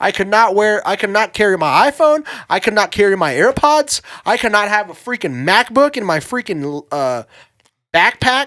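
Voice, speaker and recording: Raised and projected, a man's high-pitched voice has a bright, sharp tone and very wide pitch swings at a moderate pace, recorded dry and close with no echo over a silent background. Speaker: podcast co-host. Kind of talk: casual chat. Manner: casual, halting with fillers and restarts.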